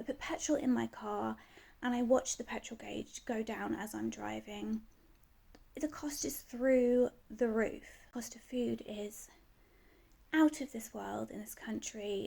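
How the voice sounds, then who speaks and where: A woman speaks with a British accent at a fairly slow pace. Her loudness swings widely, and she takes long, frequent pauses. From UK. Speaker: vlogger. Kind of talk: casual rant to camera. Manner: animated, frustrated.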